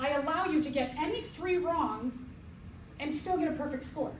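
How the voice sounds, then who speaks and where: Audible room echo surrounds a woman talking at a fairly slow pace. Her pitch varies in an ordinary way. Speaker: college biology professor. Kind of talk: lecture. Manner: energetic.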